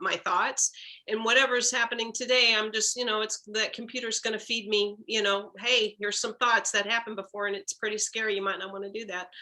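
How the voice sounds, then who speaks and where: A woman's normal speaking voice, fairly high in pitch, with ordinary pitch variation and a fairly quick pace. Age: 60s. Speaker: workshop participant. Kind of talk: group discussion.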